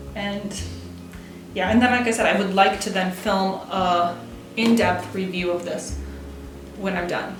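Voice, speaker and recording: The speech is fairly slow and flat in a monotone, with long, frequent pauses. Room echo is audible and music plays in the background. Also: woman, medium pitch for a woman. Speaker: writing vlogger. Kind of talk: casual vlog monologue. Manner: halting, self-correcting.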